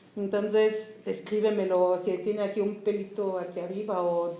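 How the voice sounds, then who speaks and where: A woman with a German accent at a medium pitch, plus noticeable background noise and audible room echo. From East Germany, Berlin. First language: German (speaking Spanish). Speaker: writer. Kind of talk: casual talk.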